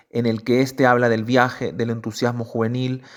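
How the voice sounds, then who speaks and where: A plain, everyday voice at a moderate pace. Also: man. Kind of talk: literary essay reading.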